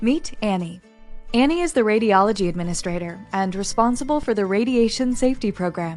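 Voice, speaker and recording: With an American accent, a woman talks at a fairly quick pace in a fairly high pitch. Her intonation is lively, and music plays in the background. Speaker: voice actor. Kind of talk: explainer narration. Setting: studio.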